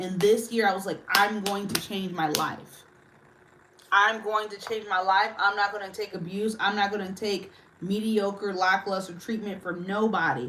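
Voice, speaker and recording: A woman speaks at medium pitch with fairly even intonation, while room echo and noticeable background noise can be heard. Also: moderate pace. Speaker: livestreamer. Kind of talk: casual chat. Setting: livestream.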